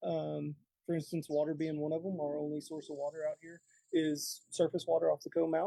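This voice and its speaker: A man talks at a fairly quick clip with a Texan accent. The sound is dry and close, with no echo. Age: 30s. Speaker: golf course superintendent. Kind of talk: casual interview. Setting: outdoors on a deck, live.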